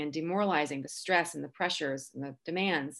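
In a very clean recording with a silent background, a plain, everyday voice moves at a fairly quick pace with fairly even intonation. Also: woman. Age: 40s. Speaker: teacher, blogger and podcaster. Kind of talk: interview.

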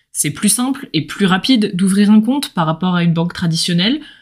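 Her voice is somewhat breathy, with lively intonation. The woman keeps a moderate pace. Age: 20s. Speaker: podcast host, finance student. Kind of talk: casual solo podcast explainer. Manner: animated.

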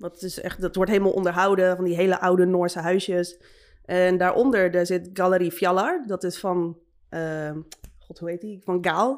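A normal speaking voice keeps a moderate pace and fairly even intonation. The loudness swings in big ways. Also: woman, medium pitch for a woman. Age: 30s. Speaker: tattoo artist. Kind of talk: casual chat.

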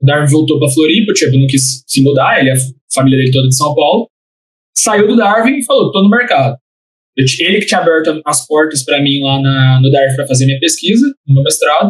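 Talking at a very fast pace, a man with a fairly high, somewhat breathy voice uses lively intonation and keeps his loudness very even. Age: 20s. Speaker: entrepreneurship center coordinator. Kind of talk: casual interview.

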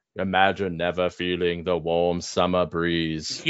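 A put-on character voice from a man, very deep and low, in a flat monotone. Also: fairly slow pace. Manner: wistful, dramatic.

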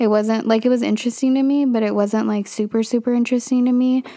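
A woman's fairly high voice with a dark, mellow tone stays in a monotone, flat intonation. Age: 20s. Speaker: solo podcaster. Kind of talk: casual personal monologue. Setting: recording in a clothes closet. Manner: casual with frequent fillers.

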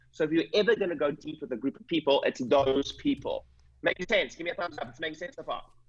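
A man with a South African accent talks at a very fast pace in an energetic tone, with ordinary pitch variation. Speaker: chiropractic business coach and clinic owner. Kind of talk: coaching call talk. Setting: video call. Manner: fast talker.

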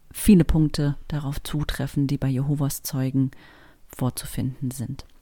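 Captured on a very clean recording with a silent background, a woman speaks in a very deep, low pitch with a dark, mellow tone. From Germany, Berlin. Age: 40s. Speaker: podcast host, actress and voice artist, ex-Jehovah's Witness. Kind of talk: personal testimony podcast monologue.

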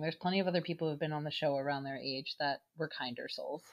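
A woman's very deep, low pitch at a fairly quick pace. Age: 30s. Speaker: podcast host. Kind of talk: casual chat.

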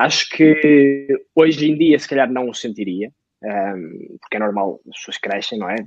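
Moving at a moderate pace, this man uses an ordinary speaking voice, medium in pitch, with ordinary pitch variation. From northern Portugal, Lixa. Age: 20s. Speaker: podcast co-host, entrepreneur. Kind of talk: casual chat.

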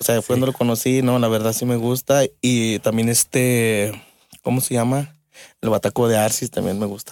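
A man at medium pitch, moderate pace, with a monotone, flat delivery. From Mexico, Aguascalientes. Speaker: drummer. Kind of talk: casual interview.

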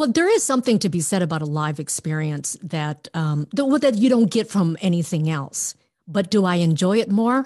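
A woman talks in an American accent with a dark, mellow tone. Her pitch swings very widely. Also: medium pitch for a woman, moderate pace, quiet background. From Minnesota, US Midwest. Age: 50s. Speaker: former TV journalist. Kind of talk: casual chat.

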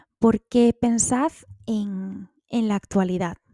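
With a dark, mellow tone, a woman speaks with ordinary pitch variation in a dry, close sound with no echo. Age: 30s. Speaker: podcaster. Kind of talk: personal monologue.

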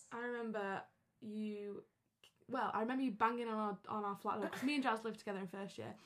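Talking very fast with a Lancashire accent, a woman keeps her fairly high voice flat and monotone. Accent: Lancashire (Wigan) English. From northern England, Wigan. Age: 20s. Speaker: university student. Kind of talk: casual chat.

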